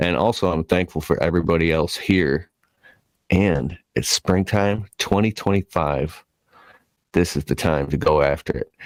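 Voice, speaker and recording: At a moderate pace, a man speaks with vocal fry at a very deep, low pitch and ordinary pitch variation, in a dry, close sound with no echo. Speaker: podcast host. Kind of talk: casual chat. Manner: enthusiastic.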